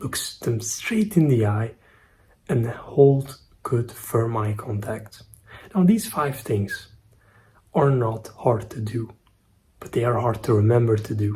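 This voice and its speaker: With a non-native accent, a man speaks very slowly at medium pitch, with ordinary pitch variation and long, frequent pauses. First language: not English. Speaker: self-improvement YouTuber. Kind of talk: casual vlog monologue. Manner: slightly halting.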